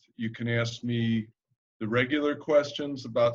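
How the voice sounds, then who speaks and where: Speaking with a Midwestern accent, a man at medium pitch talks at a fairly slow pace with fairly even intonation. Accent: Midwestern twang. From US Midwest, Chicago area. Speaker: arborist. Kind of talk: webinar talk. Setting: video call.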